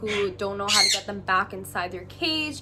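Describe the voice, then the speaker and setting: A woman talks at a moderate pace. Music plays behind her. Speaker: pet bird care educator. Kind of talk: casual talk to camera. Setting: lawnmower noise in background.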